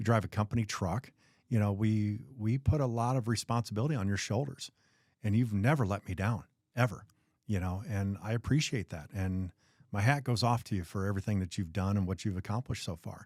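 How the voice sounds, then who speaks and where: A man with an unremarkable speaking voice, fairly low in pitch with ordinary pitch variation, at a fairly quick pace on a very clean recording with a silent background. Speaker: podcast host, painting business owner. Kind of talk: podcast interview, casual conversation.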